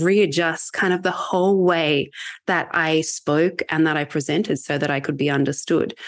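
A woman speaks with an Australian accent at a fairly slow pace, her pitch fairly low. The background is quiet. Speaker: sales enablement leader. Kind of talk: casual interview conversation.

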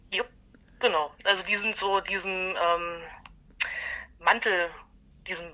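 This woman has a bright, sharp tone and a fairly low pitch. Her pace is moderate. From Halle, Saxony-Anhalt, eastern Germany. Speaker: punk bassist and concert organizer. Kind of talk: casual interview.

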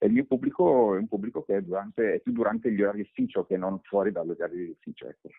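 A man talks at a very fast pace with hardly any pauses, his loudness swinging widely from moment to moment. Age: 40s. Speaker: personal branding expert and author. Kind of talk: interview.

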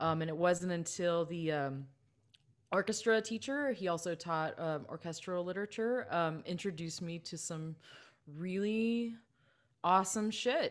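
The pace is fairly slow, with ordinary pitch variation. The recording is very clean, with a silent background. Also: woman, fairly low pitch for a woman. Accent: Californian. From Southern California, Los Angeles County. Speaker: composer and music teacher. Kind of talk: casual interview chat.

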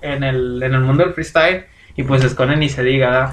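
At a moderate pace, a man speaks while noticeable background noise carries on. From Mexico. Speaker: podcast co-host. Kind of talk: casual chat.

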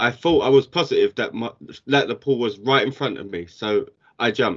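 With vocal fry, a man speaks at a medium pitch and moderate pace, his pitch varying in an ordinary way. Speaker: podcast co-host. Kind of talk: casual banter.

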